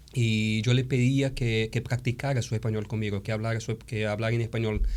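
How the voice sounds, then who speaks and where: In a Brazilian accent, a man of medium pitch talks fairly quickly in a monotone, flat delivery. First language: Portuguese (speaking Spanish). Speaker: theology professor and pastor. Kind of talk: interview. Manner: halting, with fillers.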